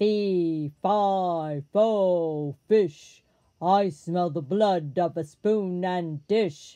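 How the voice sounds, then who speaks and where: In a put-on character voice, the speaker booms at a middle pitch and a very slow pace. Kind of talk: storybook read-aloud. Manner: menacing, thunderous.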